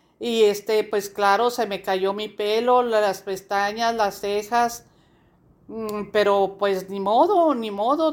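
Very slowly and with fairly even intonation, a woman speaks at a fairly high pitch in a very clean recording with a silent background. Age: old. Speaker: cancer survivor. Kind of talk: testimony. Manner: halting.

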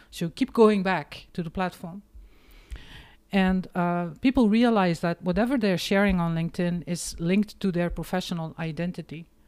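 Here a woman with a Flemish accent speaks at a medium pitch with ordinary pitch variation and a moderate pace. The recording is very clean, with a silent background. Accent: Flemish Dutch accent in English. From Belgium, East Flanders. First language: Dutch. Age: 50s. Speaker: marketing professional and author. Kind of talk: casual interview chat.

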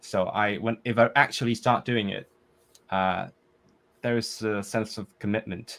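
A man's fairly low voice in a monotone, flat delivery, with a Cantonese accent. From Hong Kong. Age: 20s. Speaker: composer and polyglot language learner. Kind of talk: casual interview chat.

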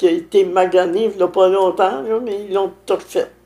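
Noticeable background noise is heard. Over it, a woman talks at a fairly slow pace. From Quebec, Lanaudière (Saint-Alphonse-Rodriguez). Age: 90s. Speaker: village elder. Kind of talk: interview.

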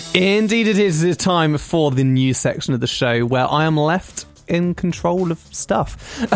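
The speaker talks at a fairly slow pace with music in the background. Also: hardly any pauses. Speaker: radio host. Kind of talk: radio dj patter. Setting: studio. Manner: chatty, bantering, animated.

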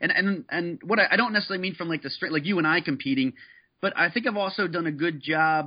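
A man's animated, very fast delivery at a fairly high pitch, with ordinary pitch variation. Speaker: former college strength coach, fitness entrepreneur. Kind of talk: interview. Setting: phone call.

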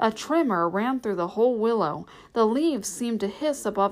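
Someone reads in an unforced voice.

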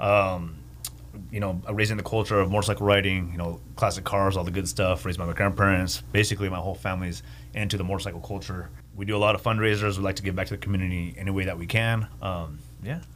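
Very deep and low, a man's voice with vocal fry races at a very fast pace in an American accent. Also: ordinary pitch variation. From Santa Paula, California. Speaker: motorcycle shop owner. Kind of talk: radio interview. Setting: studio.

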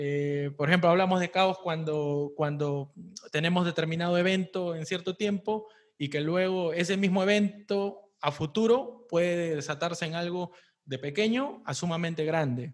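Speaking at a fairly slow pace, a man with a high-pitched voice uses ordinary pitch variation. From Peru. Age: 30s. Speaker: podcast host, interviewer. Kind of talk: casual interview.

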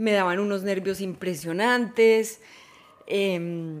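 A woman talks with fairly even intonation amid noticeable background noise. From Colombia, Manizales. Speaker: podcast host. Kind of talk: solo monologue.

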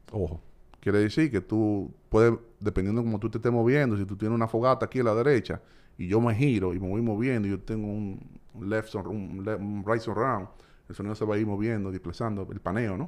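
A man speaks at a fairly quick pace. His pitch is fairly low, with fairly even intonation. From Dominican Republic, Santo Domingo. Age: 40s. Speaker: entrepreneur. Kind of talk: casual chat.

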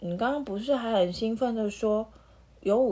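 Pitch shifts by ordinary amounts in this natural reading voice.

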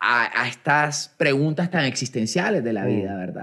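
A man talks with lively intonation in a bright, sharp tone. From Colombia. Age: 40s. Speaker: podcast host. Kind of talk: casual chat. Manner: halting, with frequent repetitions and fillers.

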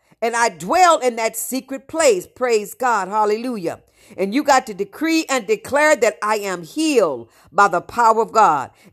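Animated and fairly high-pitched, a woman speaks with very wide pitch swings. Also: moderate pace, very clean recording, silent background. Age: 70s. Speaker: pastor. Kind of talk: sermon. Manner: animated, preaching.

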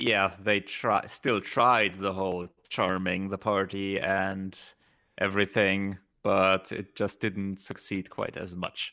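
A man with a German accent at a very slow pace, fairly low in pitch, monotone and flat, with a bright, sharp tone on a very clean recording with a silent background. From Germany. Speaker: gaming podcast co-host. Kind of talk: casual chat.

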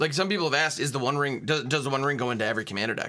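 A man is speaking. His intonation is lively. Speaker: podcast host. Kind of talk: casual chat.

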